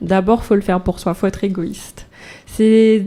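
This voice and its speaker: At a fairly slow pace, a woman speaks in a dark, mellow tone of medium pitch. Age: 20s. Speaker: singer-songwriter. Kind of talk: radio interview.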